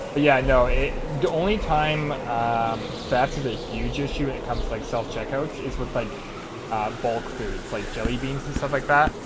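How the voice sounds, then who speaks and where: Against loud background noise, a man talks at a moderate pace with ordinary pitch variation. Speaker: streamer. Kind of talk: casual stream chat. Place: home room. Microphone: headset.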